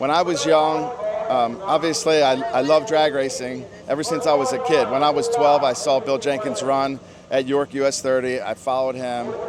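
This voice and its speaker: With lively intonation and a fairly high pitch, a man speaks at a moderate pace over noticeable background noise. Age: 60s. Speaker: amateur drag racer. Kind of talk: casual interview.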